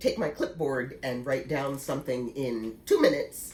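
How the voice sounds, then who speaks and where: The woman's voice sounds somewhat breathy. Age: 60s. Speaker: knitting vlogger. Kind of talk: casual vlog talk. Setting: at home.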